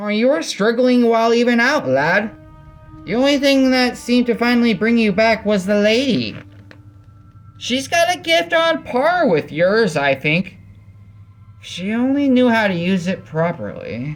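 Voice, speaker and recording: A man puts on a character voice at an extremely high pitch. He talks at a moderate pace. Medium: read story. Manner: folksy, teasing.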